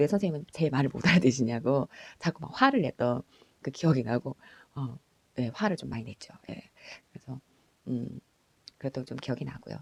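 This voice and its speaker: Dry and close with no echo, the voice moves along fairly quickly. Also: woman. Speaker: school counselor. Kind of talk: personal storytelling. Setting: at home late at night.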